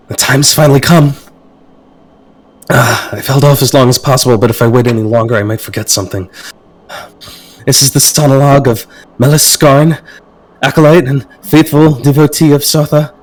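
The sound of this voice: Using a put-on character voice, a man speaks breathily at a medium pitch. He goes at a fairly quick pace, broken by long, frequent pauses.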